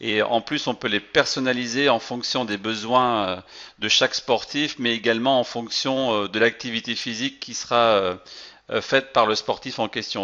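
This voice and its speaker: A man of medium pitch at a moderate pace, with fairly even intonation. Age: 40s. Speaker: product presenter / distributor. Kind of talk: sales presentation. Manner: hesitant, many fillers.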